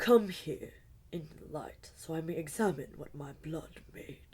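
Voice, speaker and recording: Using a put-on character voice, a woman speaks raspy and fairly low at a moderate pace, with big swings in loudness. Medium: read story. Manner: cold, imperious.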